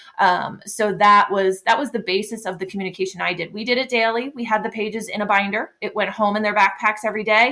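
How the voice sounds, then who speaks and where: A woman's very fast speech with an American accent, fairly high in pitch, bright and sharp in tone, with fairly even intonation. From Pennsylvania. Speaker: special education teacher. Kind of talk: podcast interview.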